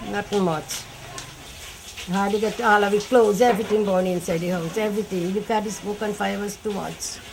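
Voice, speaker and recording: Over noticeable background noise and audible room echo, the speaker talks at a moderate pace with fairly even intonation. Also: woman. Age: 80s+. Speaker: fire victim interviewed. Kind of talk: interview testimony. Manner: halting.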